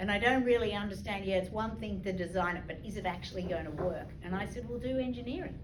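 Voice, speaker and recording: Very fast and with hardly any pauses, a woman speaks at medium pitch with ordinary pitch variation, with audible room echo and noticeable background noise. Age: 60s. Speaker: leadership trainer, former lawyer and banker. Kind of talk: talk to an audience with questions.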